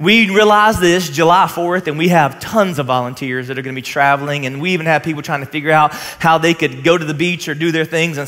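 A man's very fast speech with ordinary pitch variation. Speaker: pastor. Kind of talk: sermon. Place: stage. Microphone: headset.

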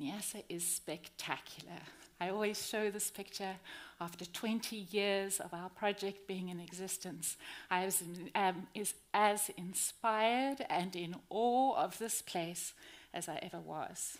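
This woman speaks at a fairly slow pace. Her pitch varies in an ordinary way. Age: 50s. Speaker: conservationist; speaker. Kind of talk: conference talk. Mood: passionate, earnest. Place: stage.

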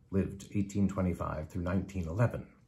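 A man's very deep, low voice, somewhat breathy, dark and mellow in tone, with fairly even intonation. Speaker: poetry reader. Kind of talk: poetry reading, after a short spoken introduction. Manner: measured, earnest and rhythmic, stirring. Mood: earnest, expressive.

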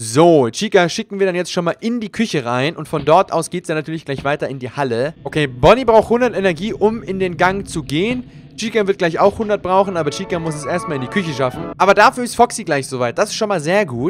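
The speech runs on with hardly any pauses. There is light noise in the background. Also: man. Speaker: gamer. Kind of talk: gameplay commentary. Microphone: studio mic.

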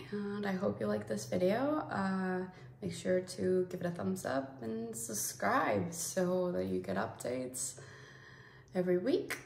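A woman's fairly low voice at a fairly slow pace, with very wide pitch swings and audible room echo. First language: Spanish. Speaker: beauty YouTuber. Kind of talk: casual unboxing vlog. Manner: animated. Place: home room. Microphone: phone near.

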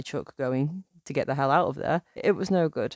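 Dry and close with no echo, the voice moves at a fairly quick pace with ordinary pitch variation. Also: woman. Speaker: horror story narrator. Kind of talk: true-crime horror narration. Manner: measured, suspenseful, storytelling pace.

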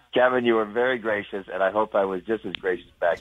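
A man talks very fast, with noticeable background noise around him. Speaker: caller. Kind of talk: casual phone chat with radio hosts.

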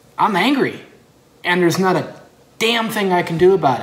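A man talks at a fairly slow pace with an American accent. Room echo is audible.

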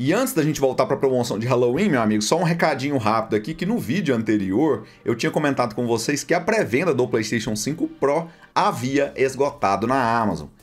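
Faint music plays behind a man speaking at a medium pitch. His pace is fairly quick and his intonation lively. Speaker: gaming deals YouTuber. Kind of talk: sales pitch, upbeat promo read for a store sponsor, with a rapid rundown of game prices. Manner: friendly, direct, addresses viewers as buddies.

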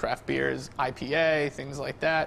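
A man speaks at medium pitch with vocal fry and a fairly bright tone. His pace is fairly slow.

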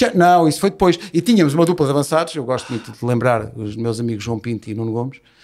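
Rattling along at a very fast pace with hardly any pauses, a man speaks at medium pitch with lively intonation. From Portugal. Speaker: radio host and football podcaster; radio host, football podcaster. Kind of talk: casual chat. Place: studio. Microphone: studio mic.

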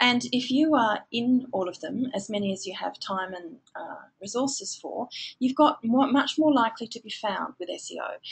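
A woman with an Australian accent, high-pitched and lively in intonation, at a moderate pace. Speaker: digital marketing trainer. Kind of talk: webinar lecture. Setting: online webinar.

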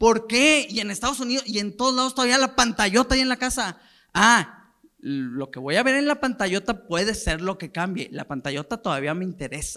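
A man's raised, projected voice, animated and bright and sharp in tone, high-pitched with very wide pitch swings, at a fairly quick pace against a quiet background. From Mexico. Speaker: marketing director at a football federation; conference speaker. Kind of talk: conference talk. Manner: casual, animated. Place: hall. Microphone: handheld.

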